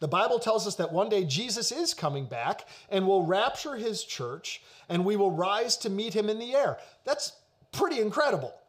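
An American accent with very wide pitch swings at a moderate pace. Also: man. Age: 40s. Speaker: pastor. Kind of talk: sermon.

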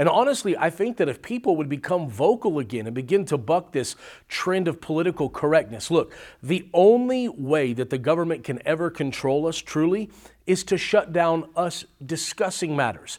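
A man with a high pitch and an American accent talks at a moderate pace with lively intonation, on a very clean recording with a silent background. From California. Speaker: former pastor turned social media personality. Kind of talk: interview monologue. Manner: halting with repetitions.

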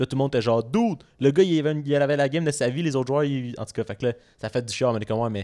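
A man speaks very fast in a dark, mellow tone. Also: medium pitch for a man, ordinary pitch variation. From Montreal, Quebec. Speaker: podcast co-host. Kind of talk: casual chat.

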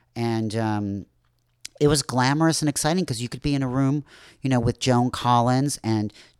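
In a very clean recording with a silent background and a dry, close sound with no echo, a man with an American accent and an unremarkable speaking voice talks at a medium pitch with ordinary pitch variation. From US Midwest, Chicago north shore. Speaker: club promoter and film producer. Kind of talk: casual interview.

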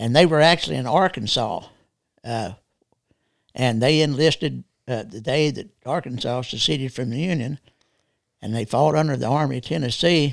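With a Texas accent, a man speaks and leaves long, frequent pauses. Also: medium pitch for a man, ordinary pitch variation, very clean recording, silent background. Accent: Texas drawl. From Texas, rural. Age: 70s. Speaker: military veteran. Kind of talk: casual interview conversation. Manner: halting, many fillers.

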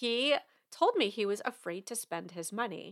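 An unremarkable speaking voice, this woman's has a medium pitch, lively intonation and an American accent, moving at a moderate pace. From New York. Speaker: money coach and podcast host. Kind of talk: podcast monologue.

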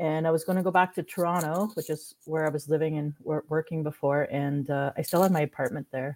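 A woman with a Canadian accent has a dark, mellow tone. She talks at a fairly quick pace with ordinary pitch variation. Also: very clean recording, silent background. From Manitoulin Island, Ontario, Canada. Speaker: film producer and artist. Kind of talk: interview.

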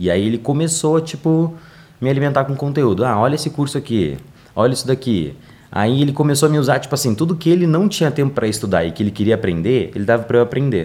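A man's very fast delivery, dark and mellow in tone, with vocal fry, medium pitch and lively intonation. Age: 20s. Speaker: digital marketing specialist. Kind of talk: interview. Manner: animated.

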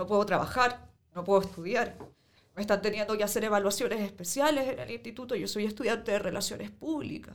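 At a fairly quick pace, a woman uses a normal speaking voice with fairly high pitch and ordinary pitch variation. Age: 20s. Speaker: protest injury victim. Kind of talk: testimony.

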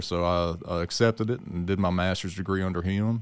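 At a moderate pace, a man with a Mississippi Delta accent speaks in a very deep, low pitch with fairly even intonation. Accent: Southern US (Mississippi Delta). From Mississippi Delta (Leland). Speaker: agricultural researcher. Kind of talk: casual chat.

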